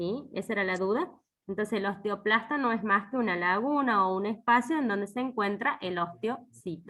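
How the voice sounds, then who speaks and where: A woman talks at a moderate pace with a medium pitch and ordinary pitch variation. It is a plain, everyday voice. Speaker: university lecturer. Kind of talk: online lecture.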